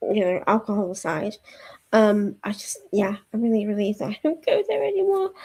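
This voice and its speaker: In a Yorkshire accent, a woman speaks at a moderate pace with a fairly high pitch and a dark, mellow tone. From Yorkshire, northern England. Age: 30s. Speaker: book streamer. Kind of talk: casual chat. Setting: live stream at home. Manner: hesitant, lots of fillers.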